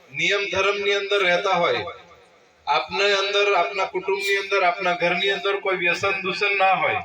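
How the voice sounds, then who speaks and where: Over noticeable background noise, a man with a high pitch uses a raised, projected voice, keeping a monotone, flat intonation and very even loudness. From Gujarat, Chhota Udaipur district. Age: 40s. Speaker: local politician. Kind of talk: public speech. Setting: village religious gathering.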